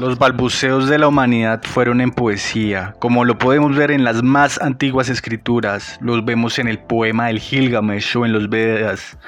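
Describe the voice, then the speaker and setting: A man speaks at a fairly slow pace, with a medium pitch and fairly even intonation. There is noticeable background noise. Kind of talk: poetry narration, reflective scripted monologue. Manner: lyrical, measured, rhythmic.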